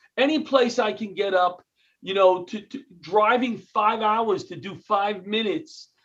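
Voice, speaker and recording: This man speaks with a New York accent and a high pitch. His pace is fairly slow and his intonation lively. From New York City (Queens). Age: 60s. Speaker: comedian and retired firefighter. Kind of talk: interview. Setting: video call.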